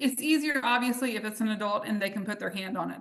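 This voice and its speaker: Against a quiet background, a woman talks in a Southern US accent. Her pitch is fairly high. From US South, North Carolina. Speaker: essential oils business leader; presenter. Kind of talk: live webinar demonstration. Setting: livestream. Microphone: video call.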